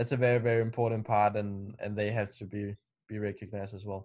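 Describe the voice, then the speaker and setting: Over a quiet background, a man speaks in a Danish accent. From Denmark. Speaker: racing driver. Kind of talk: interview.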